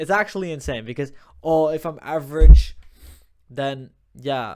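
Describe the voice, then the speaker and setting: A man's voice, fairly high in pitch. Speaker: motivational vlogger. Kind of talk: casual motivational monologue. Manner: fast.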